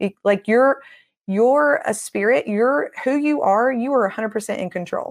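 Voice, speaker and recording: In a Southern US accent, a woman with a fairly high pitch talks at a moderate pace in an animated tone with lively intonation, over a very clean recording and silent background. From Tennessee. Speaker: deliverance minister. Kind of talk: interview.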